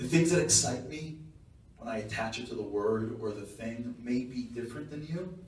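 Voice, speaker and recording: Medium pitch from a man with a Long Island accent, ordinary pitch variation, audible room echo and noticeable background noise. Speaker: guest speaker. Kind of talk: speech. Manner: fast.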